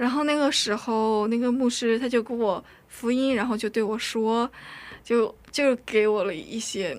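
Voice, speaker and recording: Her voice is fairly high for a woman. She speaks at a fairly slow pace with ordinary pitch variation. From North Korea, raised in China. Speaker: drama student. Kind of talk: testimony. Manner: halting.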